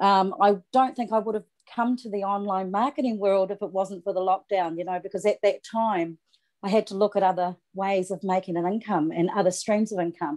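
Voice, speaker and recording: A woman with a New Zealand accent speaks fairly quickly at a medium pitch with fairly even intonation over a quiet background. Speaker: online marketer and singer. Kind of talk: self-introduction on team call. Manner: halting.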